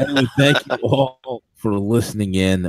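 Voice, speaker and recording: A quiet man with lively intonation, in a dry, close sound with no echo. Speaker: radio show host. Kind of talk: casual chat. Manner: quiet, close to the mic.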